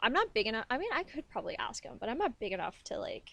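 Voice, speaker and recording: This woman speaks with a high pitch. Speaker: commentary YouTuber. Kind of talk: casual commentary reacting to videos. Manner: rambling, hesitant with fillers.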